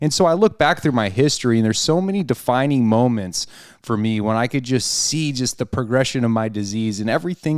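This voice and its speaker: A man with an American accent and a normal speaking voice talks at a fairly quick pace and medium pitch, with lively intonation, in a very clean recording over a silent background. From Arizona, US (Peoria). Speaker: podcast host, person in addiction recovery. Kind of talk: casual chat, personal recovery testimony. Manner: filler-heavy, conversational.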